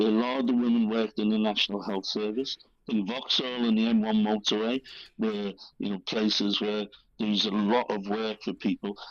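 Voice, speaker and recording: With a Liverpool accent, a man speaks at a moderate pace, his fairly low pitch held in a monotone, flat intonation. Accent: Liverpool (Scouse). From Liverpool, England. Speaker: author. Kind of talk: interview answer.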